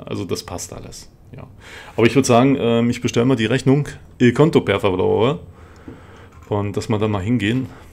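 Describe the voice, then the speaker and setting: Ordinary pitch variation and a fairly quick pace, broken by long, frequent pauses, with big swings in loudness. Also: man, medium pitch for a man. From East Germany. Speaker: gaming YouTuber. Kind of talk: let's play commentary.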